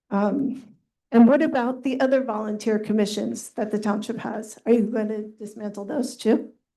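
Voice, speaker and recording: A woman speaks at a fairly high pitch with a dark, mellow tone. Her intonation is fairly even, and there is audible room echo. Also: moderate pace. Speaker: resident speaking at public comment. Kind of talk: public comment at council meeting. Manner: soft-spoken.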